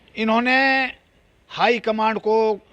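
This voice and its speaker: A man speaks at a high pitch in an animated tone. His pitch varies in an ordinary way. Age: 70s. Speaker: politician. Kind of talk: interview.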